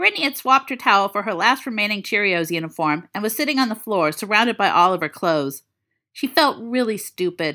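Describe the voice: Against a quiet background, a plain reading aloud moves with lively intonation.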